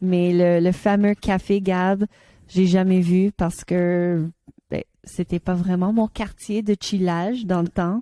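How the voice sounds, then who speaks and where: Dark and mellow in tone, a woman's medium-pitched voice moves at a very slow pace in a flat monotone, with a dry, close sound and no echo. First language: English (speaking French). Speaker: podcast co-host. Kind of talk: casual chat. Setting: studio. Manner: halting.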